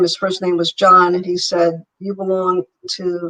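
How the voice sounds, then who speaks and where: A woman's fairly slow, flat, monotone delivery. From Italy, raised in US from childhood. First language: Italian. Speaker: entrepreneur. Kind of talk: interview.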